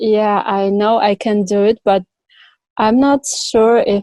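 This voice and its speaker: A woman with a non-native accent speaks very slowly in a fairly high pitch, her dark, mellow tone fairly even in intonation, in a dry, close sound with no echo. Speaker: yoga teacher. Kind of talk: interview answer. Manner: hesitant.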